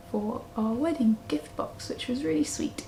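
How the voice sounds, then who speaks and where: A woman with a southern English accent at a moderate pace, amid noticeable background noise. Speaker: knitting podcaster. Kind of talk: casual vlog chat.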